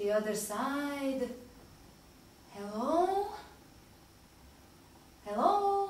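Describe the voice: Using a put-on character voice, a woman speaks very slowly at a high pitch with big pitch swings. Strong room echo surrounds her.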